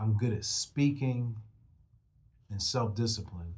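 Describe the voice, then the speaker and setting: Somewhat breathy, a man talks at a medium pitch with ordinary pitch variation. Audible room echo fills the space. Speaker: rap artist and motivational podcast host. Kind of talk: motivational monologue. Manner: casual, conversational.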